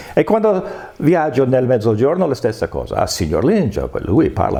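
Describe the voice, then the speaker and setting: A man with an American accent at a fairly quick pace, amid noticeable background noise. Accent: American accent in Italian, clearly foreign. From United States. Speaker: political science professor. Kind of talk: interview. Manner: halting.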